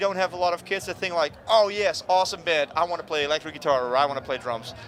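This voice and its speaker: Here a man speaks with a Dutch accent and a high pitch. His pitch varies in an ordinary way. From Netherlands. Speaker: punk musician. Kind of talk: casual interview. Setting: music festival. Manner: animated.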